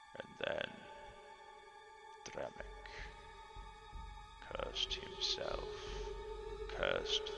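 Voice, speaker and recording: Clear noise sits in the background while a man performs a put-on character voice. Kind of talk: tragic storytelling monologue. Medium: actual play. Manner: solemn, grave.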